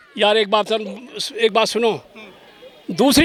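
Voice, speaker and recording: A man speaks in a raised, projected voice at a moderate pace while crowd noise fills the background. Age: 70s. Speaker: elderly Buddhist convert telling about his family. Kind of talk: street interview. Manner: halting; emotional.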